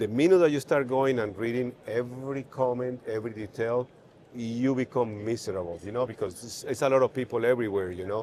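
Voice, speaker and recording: At a fairly quick pace, a man with a Spanish accent speaks at a medium pitch with ordinary pitch variation. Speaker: neurosurgeon. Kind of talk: podcast interview. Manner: halting.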